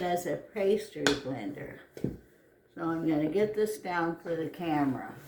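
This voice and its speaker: There is audible room echo as a woman speaks at a very slow pace with a fairly low pitch and ordinary pitch variation. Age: 80s+. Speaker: home cook, grandmother. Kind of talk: cooking tutorial. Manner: casual, conversational.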